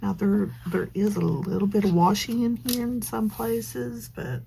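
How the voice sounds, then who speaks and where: A woman speaks quietly at a very slow pace over noticeable background noise. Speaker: planner journaling vlogger. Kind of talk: casual crafting vlog with voiceover chat. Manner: quiet, subdued; hesitant, many fillers.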